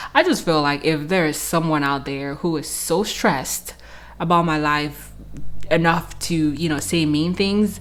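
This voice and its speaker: Her pitch very deep and low, a woman speaks at a fairly slow pace with fairly even intonation, and the room echo is audible. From Cameroon. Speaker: YouTuber. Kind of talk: casual vlog, Q&A to camera. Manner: casual, filler-heavy.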